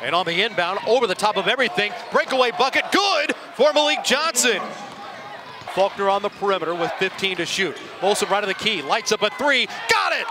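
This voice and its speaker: Over noticeable background noise, a man speaks in a raised, projected voice at a fairly quick pace. His high pitch makes very wide swings, and his tone is animated. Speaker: sports commentator. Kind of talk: live play-by-play basketball commentary. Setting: broadcasting a college game from the arena. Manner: animated, with a shouted 'it's good!' on big threes.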